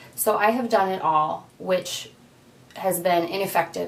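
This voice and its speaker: A woman speaks over noticeable background noise. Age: 30s. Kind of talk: casual talk to camera.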